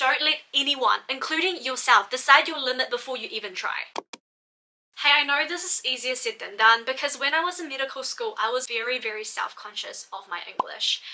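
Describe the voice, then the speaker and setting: Raising and projecting her voice, a woman with a non-native accent speaks at a fairly quick pace in a high pitch, her intonation lively and her loudness swinging widely. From Malaysia, moved to New Zealand at twelve. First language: not English. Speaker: doctor and study-tips YouTuber. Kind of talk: scripted vlog talk to camera. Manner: energetic.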